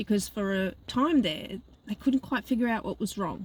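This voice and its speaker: Her voice is somewhat breathy, and its pitch varies in an ordinary way. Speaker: life coach. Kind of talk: casual vlog monologue. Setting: in a car. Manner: halting.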